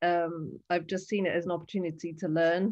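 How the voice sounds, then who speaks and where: Fairly low in pitch, a woman speaks at a moderate pace with a monotone, flat intonation. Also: quiet background. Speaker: artist in residence and symposium moderator. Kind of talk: online symposium moderation. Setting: video call.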